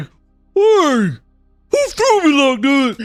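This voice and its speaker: A put-on character voice with a high pitch plays against music in the background. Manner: goofy.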